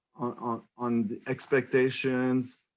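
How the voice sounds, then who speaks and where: A man is speaking. He talks with a French Canadian accent. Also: very clean recording, silent background. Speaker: economics professor. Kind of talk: lecture. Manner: halting.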